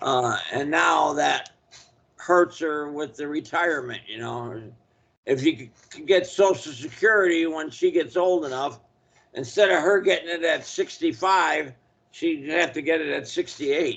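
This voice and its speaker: In a plain, everyday voice, a man with fairly high pitch speaks at a fairly slow pace, using ordinary pitch variation and big swings in loudness. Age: 60s. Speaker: spiritual consultant. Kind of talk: casual chat. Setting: video call.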